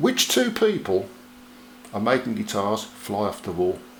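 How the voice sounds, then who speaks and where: Over noticeable background noise, a man of medium pitch speaks at a fairly slow pace with very wide pitch swings. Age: 60s. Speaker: musician and guitar video maker. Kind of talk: casual to-camera tutorial. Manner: chatty, animated.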